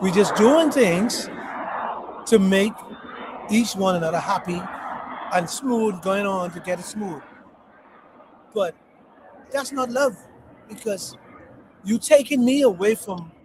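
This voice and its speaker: A man with a high pitch and an animated tone speaks at a fairly slow pace, with long, frequent pauses, big swings in loudness, ordinary pitch variation and noticeable background noise. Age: 60s. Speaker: podcast host. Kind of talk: casual chat.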